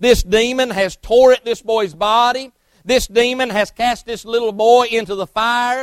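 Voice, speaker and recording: The man's pitch is extremely high. He talks at a fairly slow pace with fairly even intonation. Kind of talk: sermon, preacher in full flow. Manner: impassioned, urgent, rising and falling pulpit delivery; direct, confrontational, addressing congregation.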